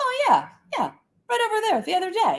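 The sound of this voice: In a put-on character voice, the speaker squeaks at an extremely high pitch and a fairly quick pace.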